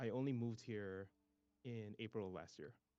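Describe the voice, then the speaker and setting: Someone with a Singaporean accent and a dark, mellow tone talks at a moderate pace. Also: man. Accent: non-American, Singaporean. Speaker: tech writer and conference organizer. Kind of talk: interview.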